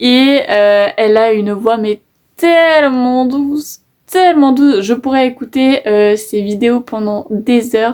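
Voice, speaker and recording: A woman with a high pitch and ordinary pitch variation talks at a very slow pace. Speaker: YouTuber. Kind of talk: casual vlog talk to camera. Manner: hesitant, many fillers.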